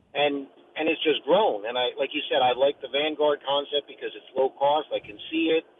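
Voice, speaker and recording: A normal speaking voice from a man, fairly high in pitch, with ordinary pitch variation, big swings in loudness and a moderate pace. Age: 50s. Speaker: caller. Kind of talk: phone-in question.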